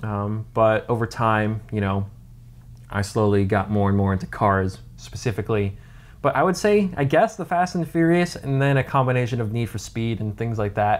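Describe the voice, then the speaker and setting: A man with an American accent and a plain, everyday voice speaks at a moderate pace, fairly low in pitch with lively intonation. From grew up in many countries (US, South Africa, UK, Singapore, Netherlands). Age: 20s. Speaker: car YouTuber. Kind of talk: casual Q&A chat. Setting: on vacation in Washington State. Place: home room. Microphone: phone near.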